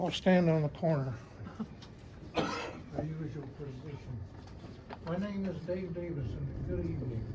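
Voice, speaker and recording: Amid audible room echo and noticeable background noise, a man with a fairly high pitch talks at a moderate pace with long, frequent pauses. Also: ordinary pitch variation. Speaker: public commenter at town meeting. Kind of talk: public comment speech. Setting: town council meeting.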